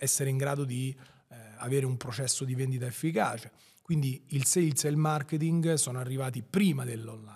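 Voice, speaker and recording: Somewhat breathy speech at a fairly quick pace, with ordinary pitch variation and a quiet background. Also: man. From Rome outskirts, Italy; Italy. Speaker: entrepreneur; podcast guest. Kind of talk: interview. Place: studio. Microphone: studio mic.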